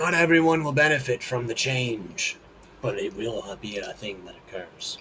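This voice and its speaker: Using a put-on character voice, a man speaks at medium pitch and a moderate pace. His intonation is lively, with big swings in loudness. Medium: actual play. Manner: calm, lofty, certain.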